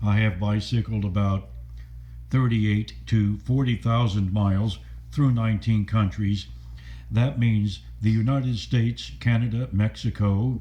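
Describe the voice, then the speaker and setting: Speaking fairly slowly with an American accent, a man has a fairly low, dark, mellow, somewhat breathy voice, with fairly even intonation and very even loudness. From US South, Stuart, Florida. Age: 70s. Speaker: adventurer and video blogger. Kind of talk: personal monologue.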